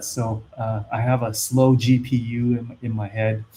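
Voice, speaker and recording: Somewhat breathy, a man talks. His pitch sits in the medium range. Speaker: investing YouTuber. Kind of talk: live stream Q&A. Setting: live stream. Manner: slow; hesitant, many fillers.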